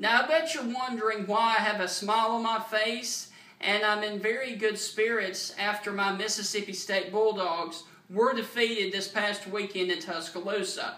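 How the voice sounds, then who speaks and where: Raising and projecting his voice, a man with a Southern US accent and a high pitch speaks at a moderate pace with ordinary pitch variation amid noticeable background noise. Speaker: sports fan vlogger. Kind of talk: angry rant, loud fan tirade with mock-cheerful opening, then fired-up football trash talk. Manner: animated; emphatic, boastful.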